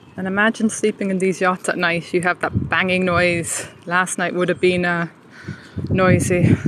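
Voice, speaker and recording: In an Irish accent, a woman speaks at a medium pitch and a moderate pace. Her intonation is flat and monotone, with noticeable background noise. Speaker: walking tour vlogger. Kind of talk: live-streamed walking tour commentary. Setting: outdoors, walking. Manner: lowered, quieter voice.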